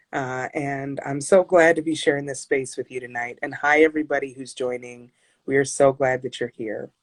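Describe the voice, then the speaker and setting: A woman's very deep, low voice with a warm tone, fairly even intonation, big swings in loudness and a moderate pace. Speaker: care navigation business owner, interviewer. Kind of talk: interview. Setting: social media live video session. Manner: warm, affirming.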